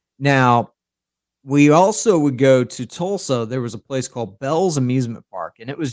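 In a dry, close sound with no echo, a man with an unremarkable speaking voice talks at a moderate pace with lively intonation. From Oklahoma. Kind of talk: casual chat.

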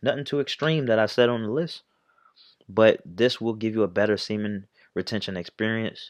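A man talks at a fairly quick pace against a quiet background. His pitch is fairly low, with ordinary variation. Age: 20s. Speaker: YouTuber. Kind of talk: casual vlog monologue. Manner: casual, halting with fillers.

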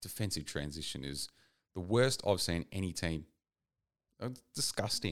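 A man talks at a moderate pace in a very deep, low pitch. Long pauses come often. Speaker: football podcast co-host. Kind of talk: casual chat. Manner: subdued.

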